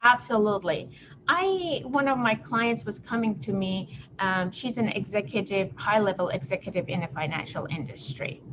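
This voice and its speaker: A woman at medium pitch speaks at a moderate pace with very wide pitch swings over noticeable background noise. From abroad, not the US. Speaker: business consultant. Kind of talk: podcast interview.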